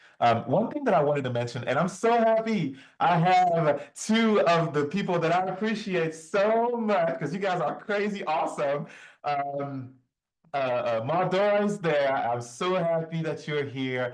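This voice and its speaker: A man with a high pitch speaks in an animated tone with lively intonation at a fairly slow pace. Audible room echo surrounds his voice. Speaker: bitcoin presenter. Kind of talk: online presentation.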